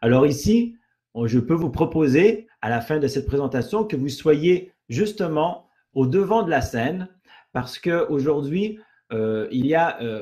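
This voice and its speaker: Very slowly, a man speaks in a fairly high, somewhat breathy voice. His tone is dark and mellow, and his intonation is lively. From Canada. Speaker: network marketing presenter. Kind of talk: sales pitch webinar. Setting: online webinar. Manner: halting, many fillers and repetitions.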